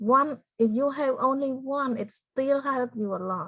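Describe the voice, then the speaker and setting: Speaking at a very slow pace in a Cambodian accent, a woman shows ordinary pitch variation. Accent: Cambodian (Khmer). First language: Khmer. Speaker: genocide survivor and motivational speaker. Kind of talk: interview.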